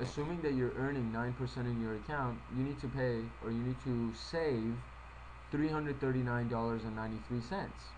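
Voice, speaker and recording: Speaking at a fairly quick pace, a man keeps his loudness very even while room echo is audible. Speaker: financial presenter. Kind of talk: tutorial. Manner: fast.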